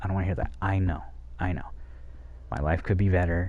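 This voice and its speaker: Quietly whispering, a man is heard with audible room echo. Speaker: streamer. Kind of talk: casual monologue to chat. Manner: whispering, quiet.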